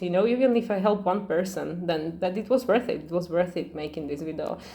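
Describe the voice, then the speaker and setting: A woman with a non-native accent and very wide pitch swings. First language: not English. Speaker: astrology channel host. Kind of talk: casual astrology talk to camera. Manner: fast; hesitant, many fillers.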